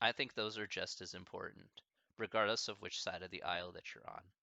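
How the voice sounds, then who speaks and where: Intonation stays monotone and flat. The man speaks with an American accent. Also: long, frequent pauses. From American Midwest. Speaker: streamer answering chat questions.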